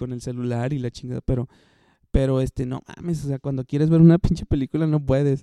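Talking at a fairly quick pace, a man uses a fairly high pitch, a dark, mellow tone and fairly even intonation. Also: dry, close sound with no echo. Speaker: podcast host. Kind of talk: casual solo monologue. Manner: halting, many fillers.

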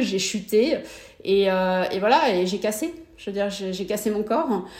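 Her voice sits at a medium pitch with ordinary variation. The woman speaks fairly slowly, and room echo is audible. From Brittany, France (Morbihan). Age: 40s. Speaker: amateur triathlete, mother of four. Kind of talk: interview conversation. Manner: hesitant, many repetitions.

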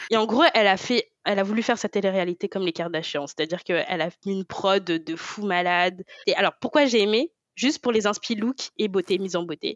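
A woman talks at a fairly quick pace in a plain, everyday voice. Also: medium pitch for a woman, ordinary pitch variation. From France. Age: 20s. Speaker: podcast co-host. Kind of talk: casual chat.

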